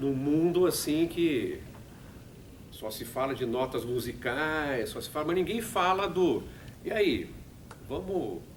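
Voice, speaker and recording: A man speaks with a São Paulo accent at a fairly high pitch. Audible room echo surrounds his voice. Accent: Paulistano Brazilian Portuguese. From Brazil, São Paulo. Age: 60s. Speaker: radio production manager and musician. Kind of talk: talk to students. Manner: halting.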